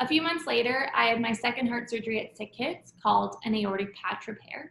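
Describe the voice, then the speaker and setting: Fairly quick and fairly high, a woman talks in an unremarkable speaking voice with ordinary pitch variation and a Canadian accent. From Canada, Toronto. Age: 20s. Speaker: patient storyteller. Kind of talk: testimony.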